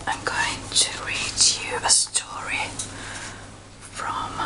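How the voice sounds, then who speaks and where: A whisper at a very slow pace. Noticeable background noise sits behind it. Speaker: ASMR reader. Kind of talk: casual talk to camera. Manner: whispered.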